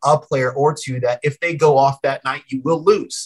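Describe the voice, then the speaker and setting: A man with an American accent, fairly slow and somewhat breathy, in a dry, close sound with no echo. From Colorado, Denver. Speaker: sports broadcaster. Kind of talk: casual interview.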